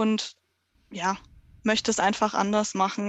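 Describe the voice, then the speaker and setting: A woman with a fairly high pitch, a plain, everyday voice and a moderate pace. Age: 30s. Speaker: dog trainer in training. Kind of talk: casual interview.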